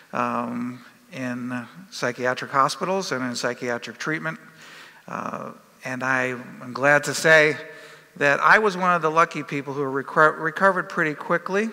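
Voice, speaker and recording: The speech moves at a moderate pace. Pitch variation is ordinary. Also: man, fairly high pitch for a man, big swings in loudness. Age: 60s. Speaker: professor. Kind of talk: conference talk. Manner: halting, many fillers.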